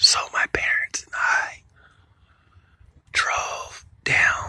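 A man whispers in a breathy voice. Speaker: Marine Corps recruit telling a personal story. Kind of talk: whispered ASMR storytime. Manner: breathy, whispered. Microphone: phone near.

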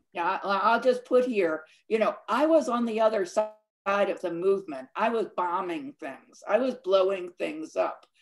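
A woman speaks at a moderate pace. Noticeable background noise runs behind her. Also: lively intonation. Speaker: film director. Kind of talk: moderating a live Q&A. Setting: video call. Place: home room. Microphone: webcam.

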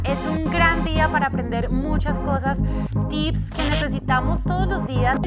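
A woman at a fairly slow pace over loud background music. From Colombia. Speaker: TV presenter and radio host. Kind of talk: TV lifestyle show hosting. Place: studio. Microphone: lapel.

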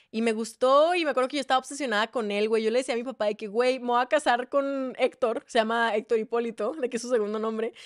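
A high-pitched woman at a very fast pace with hardly any pauses and an animated tone, in a very clean recording with a silent background. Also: dry, close sound with no echo. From Mexico, Ciudad Juárez. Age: 20s. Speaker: singer-songwriter and content creator. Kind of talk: casual chat.

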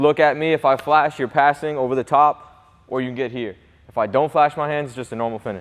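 A man speaks in an animated tone at a fairly quick pace, his pitch fairly high. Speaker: basketball trainer. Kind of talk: coaching instruction during workout. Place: gym.

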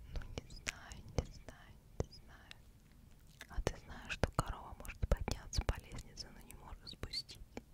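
A woman whispers at a very slow pace. Her tone is soothing. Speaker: ASMR creator. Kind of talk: ASMR whisper for sleep with interesting facts. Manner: whispered, close-mic, soothing. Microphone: studio mic.

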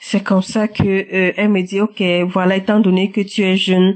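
A woman speaks at a moderate pace, her medium-pitched voice carrying a slightly mellow tone.

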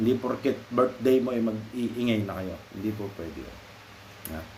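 A man at a moderate pace with ordinary pitch variation, with audible room echo. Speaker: vlogger. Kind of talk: casual advice monologue. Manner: halting.

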